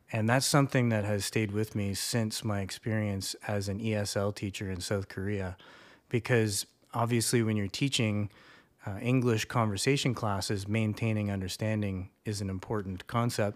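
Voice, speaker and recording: This man has a plain, everyday voice with a Canadian accent, a fairly low pitch and fairly even intonation. He talks at a moderate pace on a very clean recording with a silent background. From Canada. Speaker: university instructor. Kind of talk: casual chat.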